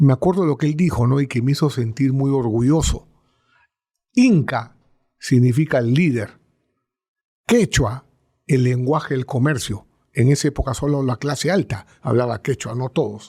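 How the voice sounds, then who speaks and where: On a very clean recording with a silent background, a man speaks at a moderate pace in a dark, mellow, somewhat breathy tone, with long, frequent pauses. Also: medium pitch for a man, ordinary pitch variation. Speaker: business executive. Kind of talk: interview.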